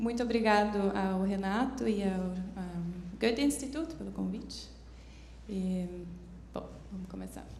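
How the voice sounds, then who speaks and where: A woman speaks at a very slow pace with long, frequent pauses and big swings in loudness. Audible room echo surrounds her voice. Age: 30s. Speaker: foundation representative, seminar speaker. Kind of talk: conference talk. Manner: halting, many hesitations.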